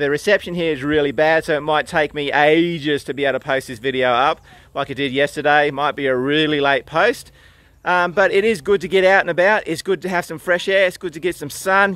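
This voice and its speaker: A man speaks at a fairly quick pace in a bright, sharp tone, with a dry sound and no echo. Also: ordinary pitch variation. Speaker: author vlogger. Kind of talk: casual vlog chat. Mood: relaxed, upbeat. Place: open country. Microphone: phone near.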